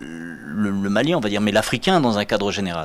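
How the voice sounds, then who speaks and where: Pitch varying in an ordinary way, a man talks at a moderate speed. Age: 50s. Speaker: art collector. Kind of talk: TV interview. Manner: halting, many repetitions.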